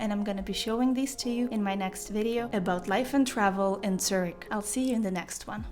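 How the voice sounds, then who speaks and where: A woman talks at a fairly quick pace. Audible room echo and noticeable background noise surround her voice. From Ukraine. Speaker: travel vlogger. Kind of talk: casual vlog talk to camera.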